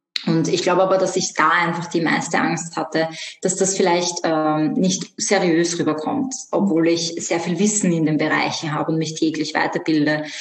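A woman speaks at a moderate pace with a fairly low pitch, ordinary pitch variation and very even loudness. Noticeable background noise and audible room echo fill the recording. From Austria, Vienna. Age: 20s. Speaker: yoga teacher and animal communicator. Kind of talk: interview.

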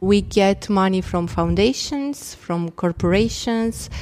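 A woman with a Romanian accent at a fairly slow pace. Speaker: impact investment director. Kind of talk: interview.

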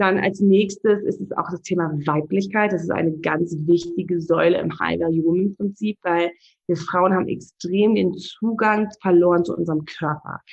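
In a normal speaking voice, a woman talks at a moderate pace with fairly even intonation and a fairly low pitch. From Namibia, Windhoek. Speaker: relationship and life coach. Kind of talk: interview.

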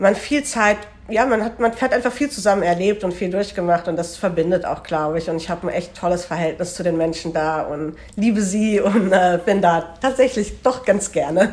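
A woman talks at a moderate pace with fairly low pitch and ordinary pitch variation. She has a plain, everyday voice. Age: 20s. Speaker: student teacher and charity volunteer. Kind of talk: casual interview.

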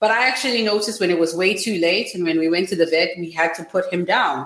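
Lively intonation marks a woman's speech, heard with audible room echo and noticeable background noise. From Zimbabwe. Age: 20s. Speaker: startup founder. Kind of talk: interview.

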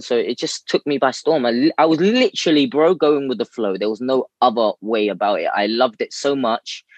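Someone with a London accent talks at a moderate pace in a dry, close sound with no echo. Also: man. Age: 20s. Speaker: calisthenics athlete and coach. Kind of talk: casual chat. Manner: animated.

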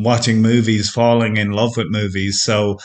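Moderate pace, in an Irish accent. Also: man. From Ireland. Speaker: film stills website curator. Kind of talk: interview.

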